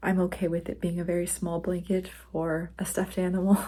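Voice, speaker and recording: A soft-spoken woman at medium pitch. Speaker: crafting vlogger. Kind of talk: casual vlog talk. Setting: at home at night.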